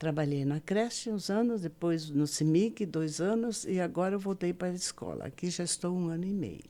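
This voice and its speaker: At a moderate pace with hardly any pauses, a woman speaks in a dark, mellow tone, her fairly low pitch varying in an ordinary way. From southern Brazil, Paraná. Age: 70s. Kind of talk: interview testimony.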